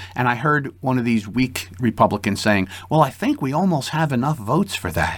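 This man talks at a fairly quick pace, his pitch medium with very wide swings. His voice is somewhat breathy. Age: 60s. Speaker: police lieutenant and podcast host. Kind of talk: political commentary monologue.

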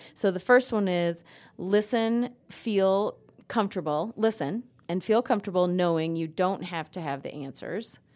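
A woman speaks at a moderate pace in a plain, everyday voice, her medium pitch moving with ordinary variation over a very clean recording with a silent background. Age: middle-aged. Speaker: podcast co-host. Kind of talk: casual chat.

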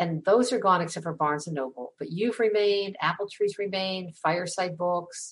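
A woman talks at a moderate pace with medium pitch. Hers is a plain, everyday voice, heard over a quiet background. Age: 60s. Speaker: podcast host. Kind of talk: interview.

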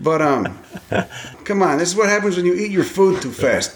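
Big pitch swings run through the speech at a moderate pace. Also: man, high pitch for a man.

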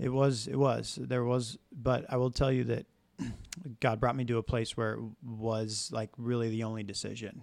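A man at medium pitch speaks in a plain, everyday voice. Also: fairly even intonation, moderate pace. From Arizona. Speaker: sales representative. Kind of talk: casual chat. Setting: coffee shop.

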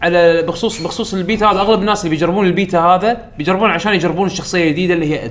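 A man talks with a high pitch over noticeable background noise. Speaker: podcast host. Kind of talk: casual chat. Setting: studio.

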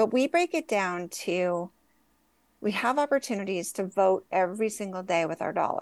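Against a quiet background, a woman with an unremarkable speaking voice talks at a medium pitch and a moderate pace. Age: 50s. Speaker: cannabis company CEO. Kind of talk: casual chat.

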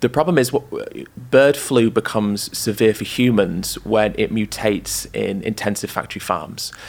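At a moderate pace, a man with vocal fry speaks at a fairly low pitch with ordinary pitch variation. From northern England, York. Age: 20s. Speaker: animal rights activist and author. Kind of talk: interview.

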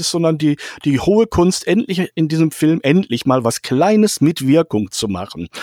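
A man speaks at a moderate pace with a fairly high pitch and very wide pitch swings, recorded dry and close with no echo. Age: old. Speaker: film critic. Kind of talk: casual film discussion.

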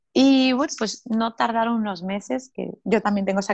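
A woman talks at a fairly quick pace with ordinary pitch variation. She has an unremarkable speaking voice. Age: 30s. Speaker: personal growth coach and author. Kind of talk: interview.

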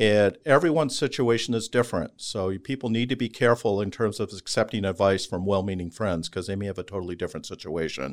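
Speaking very fast with hardly any pauses, a man uses lively intonation at a fairly low pitch. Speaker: Medicare insurance advisor. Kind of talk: radio interview. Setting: studio.

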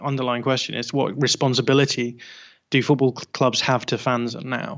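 Here a man speaks with a northern English accent. His medium-pitched voice has fairly even intonation. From northern England. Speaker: football podcaster. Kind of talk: casual chat.

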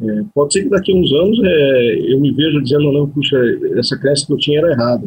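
At a very fast pace, a man talks in a fairly high, somewhat breathy voice with ordinary pitch variation. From Brazil, Curitiba (Paraná). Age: 40s. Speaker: hypnotherapist specializing in regression. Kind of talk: interview.

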